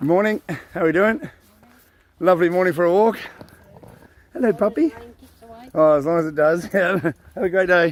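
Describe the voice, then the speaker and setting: A relaxed, high-pitched man's voice with an Australian accent, over noticeable background noise. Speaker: vlogger. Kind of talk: casual monologue. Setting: outdoors on a forest walk. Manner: relaxed, hesitant with fillers.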